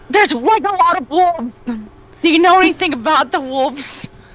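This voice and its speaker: Someone puts on a character voice at a moderate pace. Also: woman, extremely high pitch for a woman. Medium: actual play. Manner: eager, rambling.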